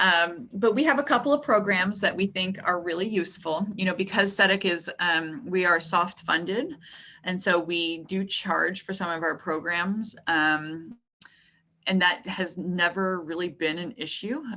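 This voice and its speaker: A woman speaks at medium pitch with a bright, sharp tone. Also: ordinary pitch variation. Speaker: professor giving a webinar. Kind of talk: lecture. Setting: video call. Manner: fast.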